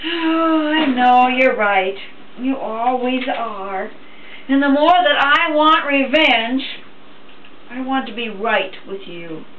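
With light background noise, a woman speaks very slowly in a high voice, leaving long, frequent pauses as her loudness swings widely. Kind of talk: scripted dramatic monologue addressed to God. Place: kitchen. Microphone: camera far.

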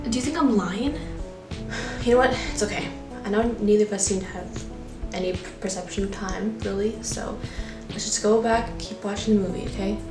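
With clear music in the background, a woman talks at a fairly quick pace but leaves long, frequent pauses. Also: ordinary pitch variation. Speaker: amateur filmmaker and actor. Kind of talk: horror short film dialogue. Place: home room.

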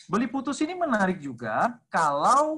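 A man speaks in a bright, sharp tone at a very slow pace. The background is quiet. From Indonesia. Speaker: lecturer and textbook author; guest, lecturer. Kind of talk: online seminar talk. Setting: video call. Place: home room. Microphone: video call.

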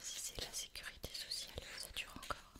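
The voice is soft-spoken. It is whispering. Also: moderate pace. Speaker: reader of a history book. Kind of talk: reading aloud with casual asides. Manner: soft ASMR whisper.

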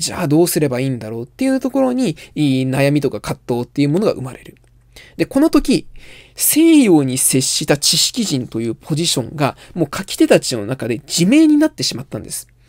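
Quiet background, a man, and a fairly quick pace. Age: 20s. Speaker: literature commentator. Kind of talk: lecture. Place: home room.

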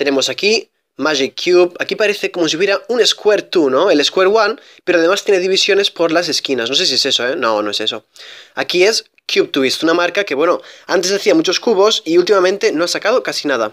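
On a very clean, dry, close recording with a silent background and no echo, a man talks very fast at a high pitch with lively intonation. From Spain. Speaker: YouTuber, Rubik's cube reviewer. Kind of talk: product unboxing review.

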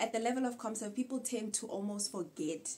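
A woman's voice with ordinary pitch variation against light background noise. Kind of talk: casual advice vlog. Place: home room.

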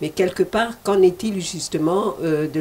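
Fairly low pitch and ordinary pitch variation in a woman's normal speaking voice, at a fairly slow pace. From DR Congo. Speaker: TV host. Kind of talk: TV interview. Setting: TV studio. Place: studio. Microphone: handheld.

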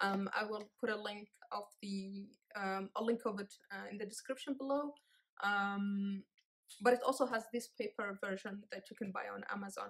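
The background is quiet as a woman talks. Her pace is moderate and her intonation fairly even. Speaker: book reviewer. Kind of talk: casual book review. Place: home room. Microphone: phone near.

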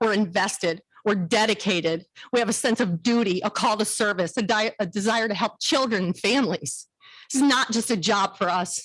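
A woman at a moderate pace, medium in pitch, with very even loudness and ordinary pitch variation. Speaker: county social services worker speaking at public comment. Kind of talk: public comment speech. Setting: county board meeting. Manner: emotional.

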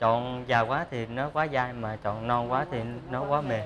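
Through noticeable background noise, a man talks at a moderate pace. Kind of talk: interview answer. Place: factory.

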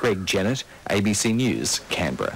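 The speaker has an Australian accent. Noticeable background noise runs under the voice. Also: man. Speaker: news reporter. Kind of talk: news report narration. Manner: formal.

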